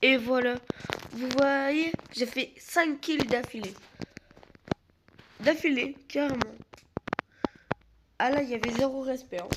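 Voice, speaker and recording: Pausing long and often, a woman talks very slowly at a high pitch. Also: ordinary pitch variation. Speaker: gaming youtuber. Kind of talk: gameplay commentary.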